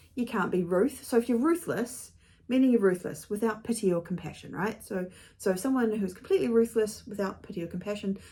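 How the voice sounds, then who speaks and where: The voice has a dark, mellow tone and a New Zealand accent. It sounds somewhat breathy, with lively intonation. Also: woman. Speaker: author and video blogger. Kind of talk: casual chat to camera. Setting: home studio. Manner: chatty, with fillers and self-corrections.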